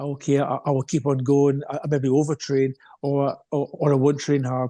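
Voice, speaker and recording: The delivery comes in a Scottish accent with monotone, flat intonation at a moderate pace. The sound is dry and close with no echo. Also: man. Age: 60s. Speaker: retired runner and coach. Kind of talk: podcast interview. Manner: halting, many fillers.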